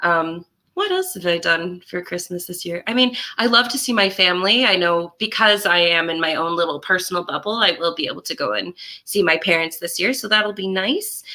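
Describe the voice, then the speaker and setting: A woman with a Canadian accent talks at a fairly quick pace in a bright, sharp tone, her fairly low pitch showing ordinary variation. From Canada, Port Moody BC. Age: 20s. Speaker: musician and music teacher. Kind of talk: casual chat.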